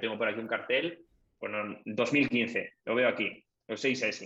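A man speaks in a bright, sharp tone. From Galicia, Spain (O Grove, Pontevedra). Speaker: tech content creator. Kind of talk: casual interview chat. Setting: live podcast stream.

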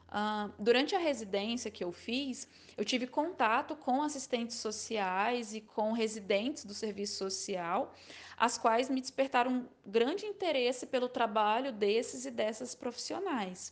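With a normal speaking voice, a woman talks at a fairly slow pace in a fairly high pitch with lively intonation against a quiet background. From Maranhão, northeastern Brazil. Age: 20s. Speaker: social work student. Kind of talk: testimony.

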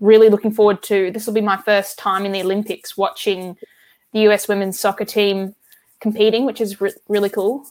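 A woman speaks with an Australian accent at a medium pitch. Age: 20s. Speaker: card collector and hobby shop worker. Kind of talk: casual chat.

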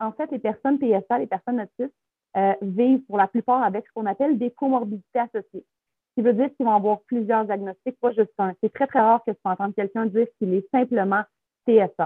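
Her pitch varying in an ordinary way, the woman moves through her words at a fairly quick pace. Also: fairly high pitch for a woman. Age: 30s. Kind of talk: interview testimony.

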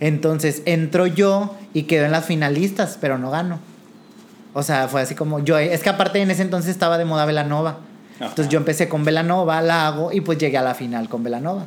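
A plain, everyday voice from a man, fairly high in pitch, fairly quick and with fairly even intonation. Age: 20s. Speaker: drag performer. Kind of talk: casual interview.

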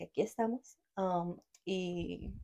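A woman talks in an ordinary speaking voice with fairly low pitch. Her intonation stays fairly even. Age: 20s. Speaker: podcast co-host. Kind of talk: casual chat.

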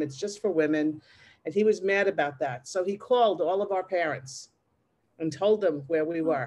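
In an American accent, a woman with an ordinary speaking voice talks at a fairly quick pace and a fairly low pitch, with ordinary pitch variation against a quiet background. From Long Island, New York. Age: 60s. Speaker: teacher and LGBTQ activist. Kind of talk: interview, personal storytelling.

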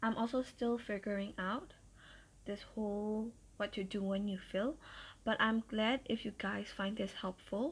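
A woman with a fairly high, somewhat breathy voice speaks at a fairly slow pace with fairly even intonation, in a very clean recording with a silent background. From Myanmar. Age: 20s. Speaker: podcaster. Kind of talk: casual monologue. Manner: formal.

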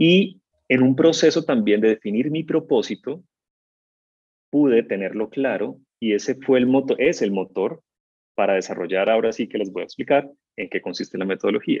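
Lively intonation comes through with long, frequent pauses in a dry, close sound with no echo. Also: man, medium pitch for a man, moderate pace. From Colombia, Cali. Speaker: voice and communication coach. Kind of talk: interview.

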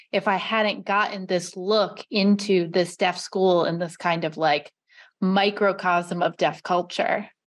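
A plain, everyday voice from a woman at medium pitch and a fairly slow pace, over a quiet background. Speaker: librarian and podcast host. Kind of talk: interview podcast.

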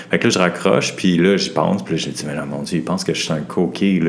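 With a Quebec accent, a man speaks at a fairly quick pace in a very deep, low voice over noticeable background noise. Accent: Québécois French. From Montreal, Quebec. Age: 30s. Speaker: doctoral student. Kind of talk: casual chat.

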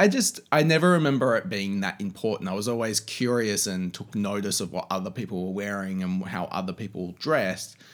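A man with an Australian accent speaks fairly quickly and at fairly low pitch, with hardly any pauses. His pitch varies in an ordinary way on a very clean recording with a silent background. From Australia (Canberra, then Sydney). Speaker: magazine creative director. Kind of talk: casual interview chat. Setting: home.

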